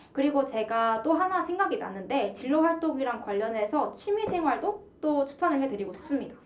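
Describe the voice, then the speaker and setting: A woman talks at a high pitch with very wide pitch swings and very even loudness. She moves at a fairly quick pace with hardly any pauses as noticeable background noise sounds behind her. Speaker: university broadcasting announcer. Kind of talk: radio talk show.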